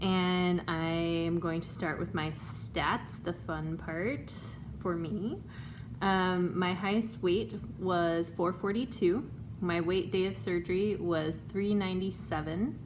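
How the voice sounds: Speaking at a slow pace, a woman keeps a fairly low pitch and fairly even intonation.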